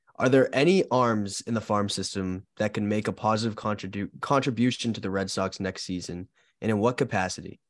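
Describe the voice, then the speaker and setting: A man with a plain, everyday voice talks at a moderate pace and fairly low pitch, his intonation fairly even. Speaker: producer asking listener questions. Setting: home studio setup in Amherst.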